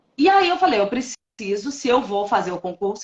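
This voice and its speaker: A woman is speaking. Her pitch swings very widely. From Minas Gerais, Brazil. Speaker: notary registrar, former lawyer. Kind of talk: interview testimony. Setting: online live stream.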